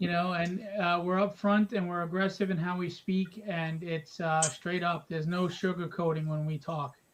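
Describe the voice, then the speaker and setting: This speaker has a New York accent and a moderate pace. There are hardly any pauses. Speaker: show co-host. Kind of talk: interview.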